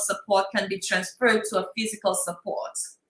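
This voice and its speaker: A woman talks fairly quickly, with noticeable background noise audible behind her. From Saint Lucia. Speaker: workshop presenter, prevention scientist. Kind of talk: workshop lecture. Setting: in-person room, wearing a mask.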